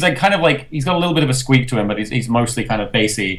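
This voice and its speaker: In an English accent, a man talks very fast with lively intonation. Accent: Americanized English. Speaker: voice actor, interview guest.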